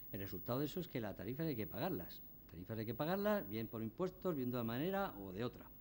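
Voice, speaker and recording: At a very fast pace, a man talks with a medium pitch that moves in very wide swings. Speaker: energy company executive. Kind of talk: conference talk. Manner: drops word endings.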